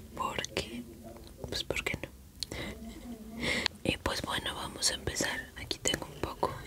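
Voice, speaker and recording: A woman whispering, at a fairly slow pace. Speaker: ASMR creator. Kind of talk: ASMR eating video, talk to viewers. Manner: whispered. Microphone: studio mic.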